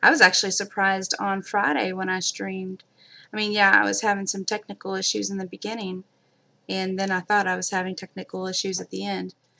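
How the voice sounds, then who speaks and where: A woman talks at a fairly quick pace with big swings in loudness, on a very clean recording with a silent background. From Kentucky. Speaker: craft live-streamer. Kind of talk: live-stream craft demo chat. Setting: live stream. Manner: casual, many fillers.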